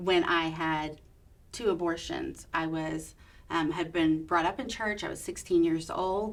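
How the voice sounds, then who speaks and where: A woman's fairly low voice in a Texan accent, at a fairly slow pace with fairly even intonation. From Texas. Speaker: abortion survivor sharing her story. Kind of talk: testimony. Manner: loud.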